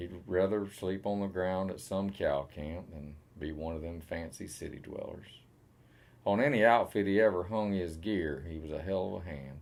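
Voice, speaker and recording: A man speaks in a very deep, low pitch with ordinary pitch variation. His loudness swings widely. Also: moderate pace. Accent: Southern US. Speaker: cowboy poet. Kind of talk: poetry reading.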